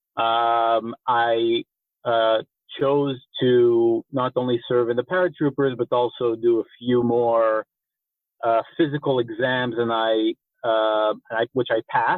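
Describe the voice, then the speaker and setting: A man with a slight American accent and a medium pitch speaks at a very slow pace. His loudness stays very even and his intonation fairly even. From Israel (Rehovot). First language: Hebrew. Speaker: war veteran, activist organization director. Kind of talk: podcast interview. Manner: halting, many fillers.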